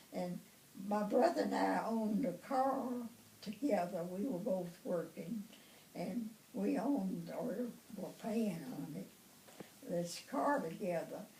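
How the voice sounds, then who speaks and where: A woman with a Southern US accent, medium pitch and lively intonation, at a very slow pace with long, frequent pauses, over noticeable background noise. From Tennessee, USA. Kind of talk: interview answer. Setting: home.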